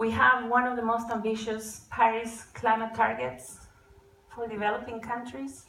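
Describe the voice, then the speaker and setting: Noticeable background noise and audible room echo both accompany the woman as she talks. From Costa Rica. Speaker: climate and e-mobility advocate. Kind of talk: conference talk.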